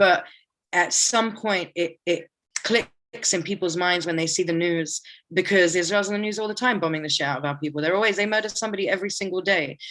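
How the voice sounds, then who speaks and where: The pace is very fast, in a British accent. Pitch moves with ordinary variation. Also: woman, medium pitch for a woman. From UK, Palestinian family. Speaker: artist and organizer. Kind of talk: interview. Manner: casual, animated.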